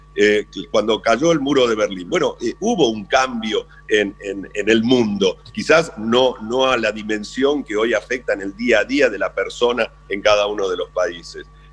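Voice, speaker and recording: There is music behind the speech. The man talks at a fairly slow pace. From Argentina. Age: 60s. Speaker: businessman. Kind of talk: radio interview. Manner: halting.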